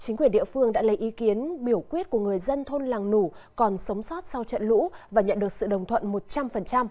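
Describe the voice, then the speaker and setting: Using a plain, everyday voice, the speaker moves at a fairly quick pace with lively intonation and hardly any pauses. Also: woman, fairly high pitch for a woman. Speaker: news anchor. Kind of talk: news reading. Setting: studio.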